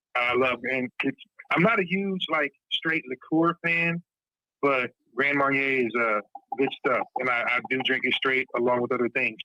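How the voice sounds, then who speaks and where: Lively intonation and a bright, sharp tone mark this voice, heard at a moderate pace in a dry, close sound with no echo. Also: man. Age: 70s. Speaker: radio podcast host. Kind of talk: casual chat. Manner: animated.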